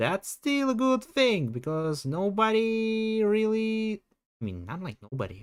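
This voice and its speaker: The speaker has a Russian accent. The pace is fairly slow. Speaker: streamer. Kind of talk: livestream casual chat. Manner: animated.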